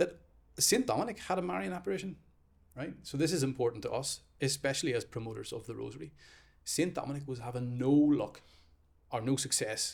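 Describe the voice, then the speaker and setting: Talking fairly quickly with a Northern Irish accent, a man uses a fairly high pitch, lively intonation and vocal fry, broken by long, frequent pauses. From Northern Ireland. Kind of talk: casual chat.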